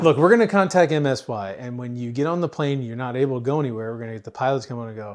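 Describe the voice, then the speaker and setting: In a quiet background, a man speaks at a very fast pace. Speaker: podcast co-host. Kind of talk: casual chat.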